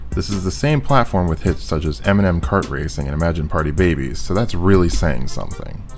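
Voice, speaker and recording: A man's very deep, low voice with lively intonation, at a fairly quick pace with hardly any pauses, music in the background. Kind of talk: video game review narration. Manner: mumbling.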